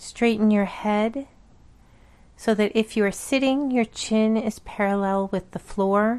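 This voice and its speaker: A woman's fairly high voice, a plain, everyday voice, with fairly even intonation and very even loudness. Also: fairly slow pace, quiet background. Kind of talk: guided meditation. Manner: slow, calm, soothing; gently paced, with long pauses between counts.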